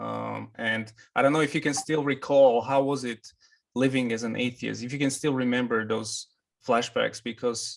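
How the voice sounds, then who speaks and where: Speaking at a moderate pace with a non-native accent, a man keeps a monotone, flat intonation at medium pitch. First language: not English. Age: 30s. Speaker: interviewer, convert to Islam. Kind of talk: interview.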